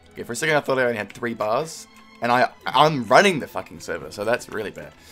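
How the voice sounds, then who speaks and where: With music in the background, a man of medium pitch talks at a very fast pace. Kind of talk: gaming commentary with friends. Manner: casual, conversational.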